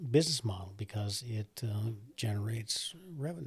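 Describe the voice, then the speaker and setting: Somewhat breathy, a man talks at a moderate pace in a medium pitch with ordinary pitch variation. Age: 60s. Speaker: coffee roaster and business owner. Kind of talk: podcast interview. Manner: hesitant, many fillers.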